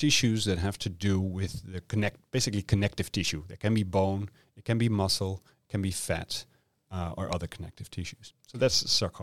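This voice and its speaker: A man with a Dutch accent speaks at a fairly low pitch with ordinary pitch variation, in a dry, close sound with no echo. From Netherlands. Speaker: medical oncologist and cancer researcher. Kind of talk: interview. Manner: halting, with frequent fillers.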